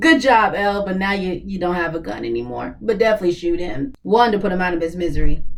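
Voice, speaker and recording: A woman's animated, medium-pitched speech at a very fast pace, with lively intonation, hardly any pauses and noticeable background noise. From US South. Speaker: YouTube reaction commentator. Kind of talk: reaction commentary.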